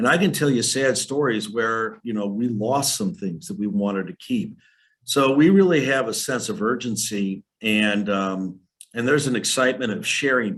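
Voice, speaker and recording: A man talks at a moderate pace and a medium pitch, his voice swinging very widely in pitch. The background is quiet. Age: 60s. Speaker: historical society leader. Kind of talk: presentation.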